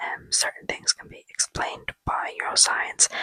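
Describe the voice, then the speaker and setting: Whispering at a moderate pace, a woman with an Irish accent sounds dry and close with no echo. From Ireland. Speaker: vlogger. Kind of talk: casual vlog chat. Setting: at home, indoors. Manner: casual, filler-heavy.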